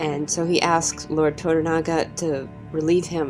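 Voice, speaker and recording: A woman talks in a very deep, low pitch over music in the background. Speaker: TV show reviewer. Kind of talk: spoken video review.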